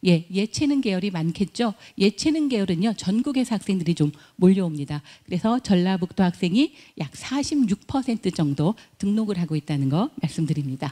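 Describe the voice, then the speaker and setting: A woman talks at a fairly quick pace in a dark, mellow, somewhat breathy voice of medium pitch with very wide pitch swings. The sound is dry and close, with no echo. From Chungcheong, Korea. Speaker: university admissions director. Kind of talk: admissions presentation. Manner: formal.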